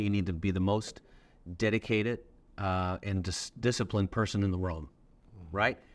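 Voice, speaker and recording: In a very clean recording with a silent background, a man speaks fairly quickly. His pitch is fairly low. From Newfoundland, Canada. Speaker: pastor. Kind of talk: interview.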